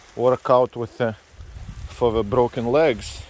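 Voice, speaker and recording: The talker is a man with a non-native accent. He delivers his words fairly slowly. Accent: foreign accent, moderate. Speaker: vlogger. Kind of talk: casual vlog narration. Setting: outdoors hiking by a lake in rain. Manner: relaxed, chatty.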